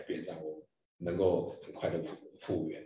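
A man talks at a moderate pace, his voice carrying an audible room echo. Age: 60s. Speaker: district governor of a service club. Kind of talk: interview.

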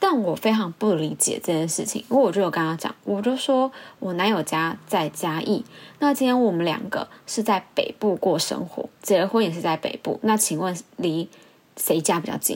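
With a normal speaking voice, a woman talks at a moderate pace using lively intonation. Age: 20s. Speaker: podcast host. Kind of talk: casual monologue.

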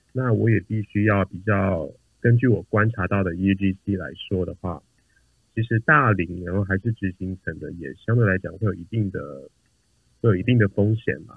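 A plain, everyday voice from a man, fairly low in pitch with ordinary pitch variation, big swings in loudness and a moderate pace. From Taiwan. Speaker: product manager. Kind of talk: interview. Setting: remote recording.

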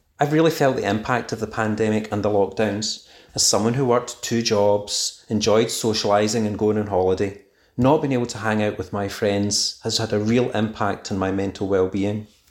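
A man with a Scottish accent speaks at a fairly low pitch with fairly even intonation. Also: moderate pace. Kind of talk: recorded voice message.

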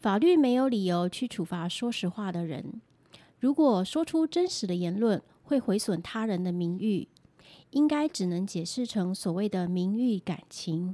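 On a very clean recording with a silent background and a dry, close sound with no echo, a woman speaks at a fairly slow pace with a medium pitch, lively intonation and a dark, mellow tone. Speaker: lawyer. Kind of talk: scripted legal explainer podcast.

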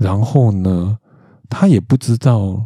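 Very slow and somewhat breathy, a man with a Taiwanese accent speaks at a medium pitch in a dark, mellow tone with ordinary pitch variation, the sound dry and close with no echo. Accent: Taiwanese Mandarin. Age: 40s. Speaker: podcast host. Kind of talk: solo monologue podcast. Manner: casual, frequent filler particles.

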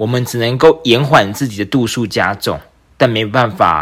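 Using a plain, everyday voice, a man talks at a fairly slow pace and a fairly low pitch. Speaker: podcast host and entrepreneur. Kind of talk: solo podcast monologue.

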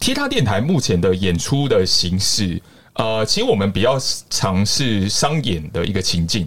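Lively intonation at a moderate pace. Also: man, fairly low pitch for a man, very even loudness. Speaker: tap dancer and street performer. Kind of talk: casual interview chat. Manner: energetic, projecting loudly; animated, theatrical.

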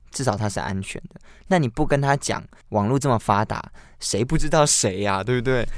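A normal speaking voice from a man, medium in pitch, with lively intonation and a fairly quick pace, on a very clean recording with a silent background. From Taiwan (lived in mainland China as a young child). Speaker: podcast co-host. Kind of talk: casual chat.

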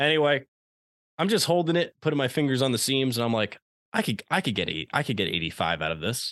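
A man's very fast, medium-pitched speech in an American accent, with very wide pitch swings and vocal fry, dry and close with no echo over a quiet background. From Long Island, New York. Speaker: sports podcast co-host. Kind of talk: casual chat. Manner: animated.

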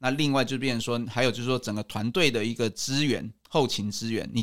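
A man's unremarkable speaking voice: medium pitch, ordinary pitch variation, fairly quick pace. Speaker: rehabilitation physician and national team doctor. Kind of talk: interview.

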